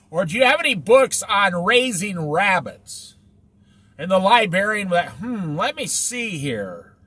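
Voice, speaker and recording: A man with a high pitch and a bright, sharp tone projects a raised voice at a very slow pace, his pitch swinging very widely. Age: 60s. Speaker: Bible teacher. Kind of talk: casual Bible study talk. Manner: conversational.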